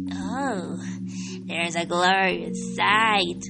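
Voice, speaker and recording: Over loud music in the background, a female-sounding put-on character voice comes through squeaky. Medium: read story. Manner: meek, wheedling.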